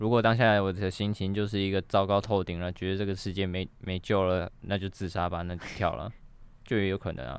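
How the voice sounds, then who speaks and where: With a plain, everyday voice, a man talks at a fairly quick pace in a fairly low pitch and fairly even intonation. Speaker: guest standing in as host. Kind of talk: casual chat. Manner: joking, laughs often.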